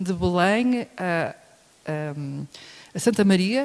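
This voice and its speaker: With a European Portuguese accent, this woman speaks in a fairly low pitch with a dark, mellow tone. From Portugal. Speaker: professor. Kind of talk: lecture.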